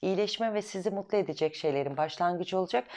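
With a fairly low pitch and ordinary pitch variation, a woman speaks in an animated tone against a quiet background. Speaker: astrology video host. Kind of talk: weekly horoscope monologue. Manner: fast. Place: home room. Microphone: lapel.

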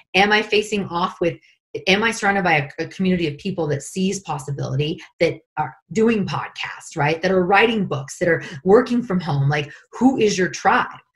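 An animated, somewhat breathy American accent at a moderate pace, with ordinary pitch variation over a quiet background. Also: woman. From Northern California. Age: 40s. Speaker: life coach. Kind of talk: guided meditation; interview. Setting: call. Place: home room. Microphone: video call.

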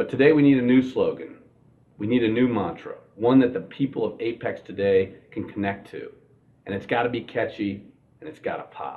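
Loudness swings widely as a man talks at a moderate pace. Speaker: comic office manager character. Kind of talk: mock interview answer. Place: office.

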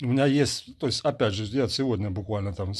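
A man talks at a fairly quick pace. His fairly low voice is somewhat breathy. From Ukraine. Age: 50s. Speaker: soldier and video blogger. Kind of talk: monologue answering viewer questions. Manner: animated. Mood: earnest, emotional, contemptuous of enemy. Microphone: earbuds.

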